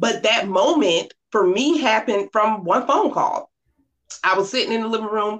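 This speaker has an American accent and an animated tone. The pace is moderate, with ordinary pitch variation. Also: woman, fairly high pitch for a woman. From Norfolk, Virginia. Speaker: keynote speaker and author. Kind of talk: casual interview chat.

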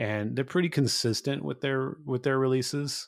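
A man talks at a moderate pace with an American accent and ordinary pitch variation. It is an ordinary speaking voice on a very clean recording with a silent background. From California, small town. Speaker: author and music podcaster. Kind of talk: interview.

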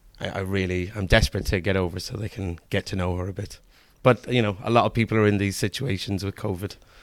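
A man with an Irish accent and a fairly low pitch talks very fast with fairly even intonation, in a very clean recording with a silent background. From Ireland, Kilkenny. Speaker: school computing teacher. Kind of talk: casual interview. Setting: classroom.

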